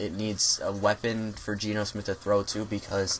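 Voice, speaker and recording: Noticeable background noise sits behind the recording. A man with a fairly low pitch speaks at a moderate pace. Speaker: YouTuber, NFL draft analyst. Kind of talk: solo video commentary. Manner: halting, many fillers and self-corrections.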